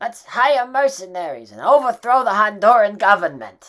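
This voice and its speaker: A cartoonish character voice sounds female and fairly high in pitch. It moves at a moderate pace. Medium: puppet. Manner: excitable.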